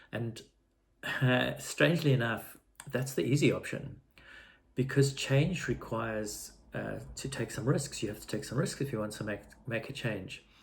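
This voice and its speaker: At a moderate pace, a man with a medium-pitched voice and vocal fry speaks with ordinary pitch variation and long, frequent pauses. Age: 60s. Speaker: vlogger. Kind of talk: personal video diary. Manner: halting, with fillers and repetitions.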